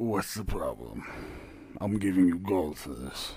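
Moderate pacing in a put-on character voice. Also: man, very deep, low pitch for a man. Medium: actual play. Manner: gruff, impatient.

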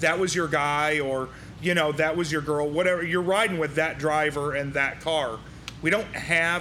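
A man with an American accent speaks at a moderate pace, his pitch fairly high and his intonation fairly even. His loudness stays very even, and audible room echo surrounds him. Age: 40s. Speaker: podcast host. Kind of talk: casual interview. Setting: racing shop.

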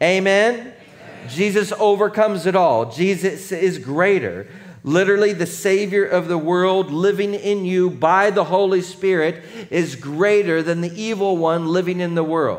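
Audible room echo around a man's high-pitched voice, at a moderate pace with ordinary pitch variation. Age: 40s. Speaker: pastor. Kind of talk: sermon.

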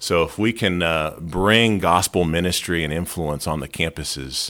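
On a very clean recording with a silent background, a man speaks in a very deep, low voice with ordinary pitch variation. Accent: American. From Pennsylvania, Lehigh Valley. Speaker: campus ministry leader. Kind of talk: casual chat.

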